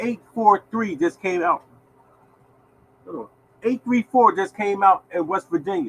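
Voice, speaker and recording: Pausing long and often, a man speaks at a fairly slow pace in a high pitch, animated and with lively intonation, his loudness swinging widely in a dry, close recording with no echo. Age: 60s. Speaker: lottery show host. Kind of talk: casual live-stream talk. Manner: animated, repetitive.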